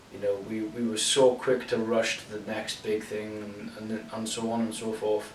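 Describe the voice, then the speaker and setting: At a fairly slow pace, a man with a medium-pitched voice speaks over noticeable background noise. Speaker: long-time gamer. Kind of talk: unscripted casual talk to camera.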